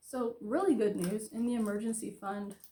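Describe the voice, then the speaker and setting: Here is a woman with a normal speaking voice and a fairly high pitch. Her intonation is fairly even and her pace moderate. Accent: American. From Florida. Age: 30s. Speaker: budgeting vlogger. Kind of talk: casual tutorial.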